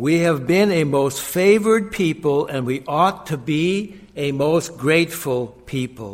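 A man's fairly high voice at a very slow pace with lively intonation. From US Midwest, Minnesota. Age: 70s. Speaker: guest preacher. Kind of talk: sermon. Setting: church.

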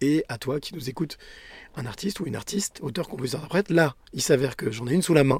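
Lively in intonation and somewhat breathy, a man talks at a very fast pace in a very clean recording with a silent background. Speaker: podcast host. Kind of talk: interview.

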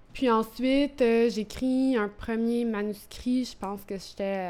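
A woman at medium pitch with ordinary pitch variation, at a fairly slow pace. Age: 30s. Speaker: poet. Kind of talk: interview. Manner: halting.

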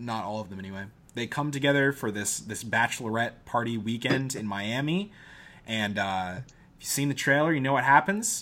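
With a normal speaking voice, this man talks at a moderate pace and medium pitch, using ordinary pitch variation. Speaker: movie podcast host. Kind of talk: casual comedic banter, movie review. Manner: joking, teasing.

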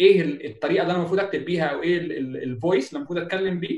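Very fast in pace, a man talks at a high pitch with ordinary pitch variation. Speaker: UX writing specialist. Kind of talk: webinar talk.

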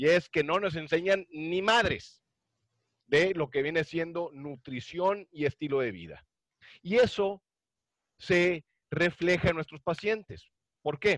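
At a very slow pace with long, frequent pauses, a man speaks in a high voice with ordinary pitch variation, recorded with a dry, close sound with no echo and a quiet background. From Mexico, Monterrey. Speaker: podcast co-host and cardiologist. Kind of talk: casual chat.

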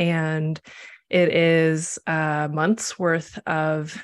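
A woman speaks with a Midwestern US accent at a fairly low pitch. The background is quiet. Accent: General American, Midwestern. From US Midwest (Nebraska, Missouri, Chicago). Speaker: astrologer and tarot reader. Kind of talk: casual conversation on a livestream.

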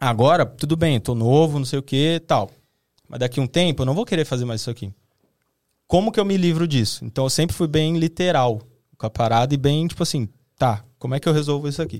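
Recorded very cleanly against a silent background, a man with an ordinary speaking voice talks at a fairly high pitch with lively intonation. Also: fairly quick pace. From Brazil, Osasco (São Paulo). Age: 20s. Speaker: video content creator. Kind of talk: casual chat.

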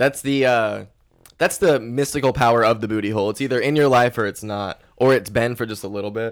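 With a plain, everyday voice, a man speaks at a fairly quick pace and medium pitch with ordinary pitch variation. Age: 20s. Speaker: podcast host. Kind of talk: casual chat.

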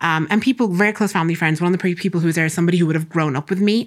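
In an Irish accent, a woman talks with ordinary pitch variation on a very clean recording with a silent background. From Ireland, Castlebar (Co. Mayo). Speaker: doctor and assistant professor. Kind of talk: interview. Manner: animated.

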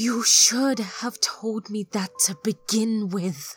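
Music plays in the background. A put-on character voice moves at a very slow pace. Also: female-sounding voice, fairly high pitch for a woman. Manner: angry, resentful.

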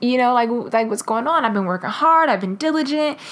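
On a very clean recording with a silent background, a woman speaks at a fairly high pitch with lively intonation. She has a normal speaking voice. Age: 20s. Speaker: devotional podcast host. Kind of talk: devotional talk. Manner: casual, with many fillers.

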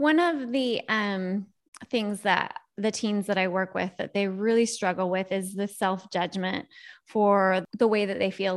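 In a normal speaking voice, a woman talks with ordinary pitch variation. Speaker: podcast host and parent. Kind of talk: casual interview.

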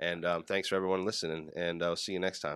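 A man with a New Jersey accent talks at a very fast pace in a very deep, low voice. His intonation is monotone and flat on a very clean recording with a silent background. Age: 20s. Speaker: podcast host. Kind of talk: casual interview. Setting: studio.

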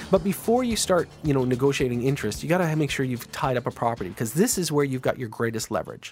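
A man talks in a plain, everyday voice with lively intonation. The recording is very clean, with a silent background. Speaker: radio host. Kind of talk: radio dj patter. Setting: radio studio. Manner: upbeat, chatty and cheerful, with a steady salesy flow.

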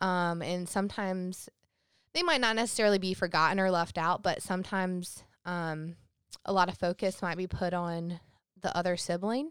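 On a very clean recording with a silent background, a woman uses an ordinary speaking voice at a medium pitch, with fairly even intonation and a moderate pace. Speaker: podcast co-host. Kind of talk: casual chat.

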